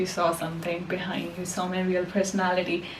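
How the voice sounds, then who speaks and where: Over noticeable background noise and audible room echo, a woman with a non-native accent and medium pitch talks at a fairly quick pace. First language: not English. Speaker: self-help podcaster and poet. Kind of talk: casual monologue to camera. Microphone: poor voice quality, mic was off.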